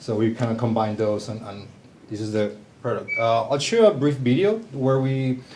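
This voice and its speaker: A man with a Spanish accent speaks at a medium pitch and a moderate pace, with ordinary pitch variation. Noticeable background noise and audible room echo fill the recording. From southern Chile. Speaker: company founder, bassist. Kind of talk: presentation talk.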